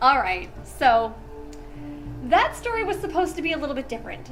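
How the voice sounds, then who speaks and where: There is audible room echo and music in the background as a woman speaks. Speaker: horror story narrator. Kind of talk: casual chat. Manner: normal speaking voice in outro.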